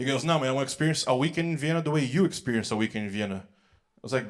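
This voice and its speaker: A man speaks at a very fast pace. His pitch is fairly high, with ordinary pitch variation. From Brazil. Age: 20s. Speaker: comedian. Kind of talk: stand-up. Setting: stage with audience.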